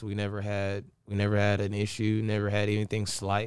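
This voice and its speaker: The voice comes with a Southern US accent. The recording is very clean, with a silent background. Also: man. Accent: Southern US (Georgia). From US South, Augusta/Aiken area (Georgia/South Carolina). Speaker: DJ and entrepreneur. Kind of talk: interview.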